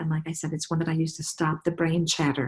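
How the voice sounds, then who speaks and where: A somewhat breathy, fairly low female voice at a fairly quick pace. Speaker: essential oils presenter. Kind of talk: product presentation to online group. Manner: fast.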